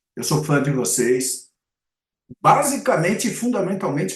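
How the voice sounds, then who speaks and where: With vocal fry and a fairly high pitch, a man talks at a moderate pace using very wide pitch swings. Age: 60s. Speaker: advertising and marketing commentator. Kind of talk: podcast interview. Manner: halting, many self-corrections.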